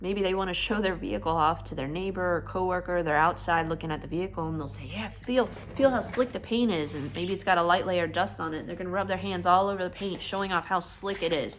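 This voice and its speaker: Fairly low-pitched female speech at a very fast pace, hardly any pauses, ordinary pitch variation, and audible room echo. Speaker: car detailer, vlogger. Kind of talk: casual vlog explanation. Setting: garage workshop.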